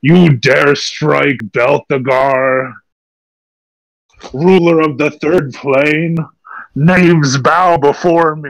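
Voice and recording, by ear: A man puts on a character voice with a fairly high pitch. He talks at a very slow pace.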